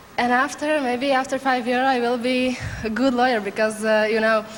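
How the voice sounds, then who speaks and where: A woman with a Slovak accent speaks at a moderate pace in a flat monotone over noticeable background noise. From Slovakia. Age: 20s. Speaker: beauty pageant contestant. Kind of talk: interview. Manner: halting.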